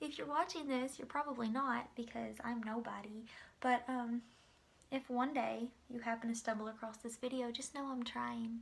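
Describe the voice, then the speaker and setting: Fairly even intonation runs through this woman's speech. She talks at a moderate pace with a fairly high pitch. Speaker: beauty vlogger. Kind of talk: makeup tutorial. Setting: at home in apartment, late night. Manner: quiet, trying not to be loud; casual, filler-heavy.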